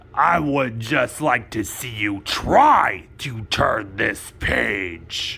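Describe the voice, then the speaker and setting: Using a raspy, cartoonish character voice at a medium pitch, a man speaks at a very slow pace with hardly any pauses. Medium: puppet. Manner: excitable, fretful.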